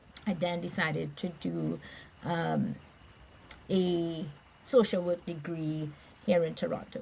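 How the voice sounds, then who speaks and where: A woman speaks in a Caribbean accent. Her pace is fairly slow. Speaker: nonprofit chief executive. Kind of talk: interview conversation.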